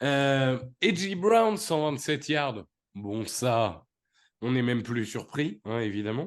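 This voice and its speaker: A man talks at a very slow pace. His medium-pitched voice has lively intonation. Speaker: podcast host. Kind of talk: casual chat.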